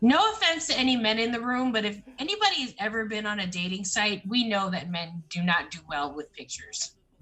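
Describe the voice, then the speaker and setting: A fairly high-pitched woman talking at a fairly quick pace with very wide pitch swings and hardly any pauses, over noticeable background noise. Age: 40s. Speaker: panelist in a group talk stream. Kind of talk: casual chat. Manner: animated.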